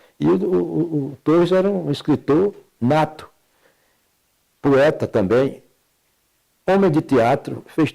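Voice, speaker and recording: A man's dark, mellow voice moves through very wide pitch swings. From Alagoas, Brazil. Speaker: judge, lawyer, poet. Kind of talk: interview answer.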